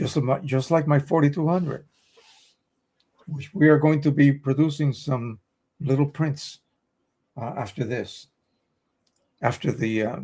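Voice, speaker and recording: Somewhat breathy, a man speaks at a fairly slow pace. His pitch is fairly high. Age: 70s. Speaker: photo printing tech streamer. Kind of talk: live stream chat. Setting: live stream at home. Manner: halting.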